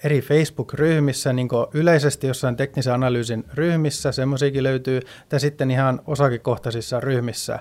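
In a very clean recording with a silent background, a man with a fairly high pitch talks at a moderate pace with monotone, flat intonation. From Sweden. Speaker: finance professional. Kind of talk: casual chat. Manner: halting.

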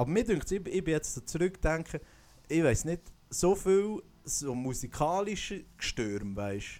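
Speaking with a Swiss accent, a man uses lively intonation and a dark, mellow tone at a moderate pace. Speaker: podcast host and singer. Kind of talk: casual chat. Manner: animated.

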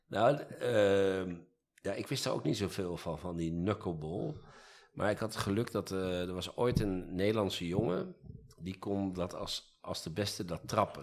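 A man's fairly low voice moves along at a medium tempo. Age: 50s. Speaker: employment lawyer. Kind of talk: casual chat. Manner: halting.

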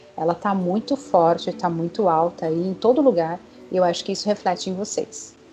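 A woman with a fairly low pitch, ordinary pitch variation, and a fairly quick pace. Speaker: clinical psychologist. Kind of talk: interview. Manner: talkative.

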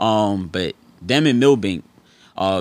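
On a very clean recording with a silent background, a man speaks in a New York accent. His pitch is fairly low and his intonation lively. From New York City (Harlem and the Bronx). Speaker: former basketball player. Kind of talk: interview. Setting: studio.

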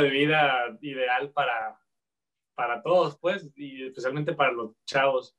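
At a fairly slow pace, a man speaks in an unremarkable speaking voice with a fairly high pitch. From Guadalajara, Mexico. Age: 30s. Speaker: chef, entrepreneur. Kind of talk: casual interview.

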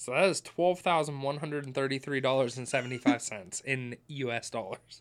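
Using a plain, everyday voice, a man speaks at a moderate pace and medium pitch with ordinary pitch variation and hardly any pauses. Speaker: podcast host. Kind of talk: casual banter, comedic film review.

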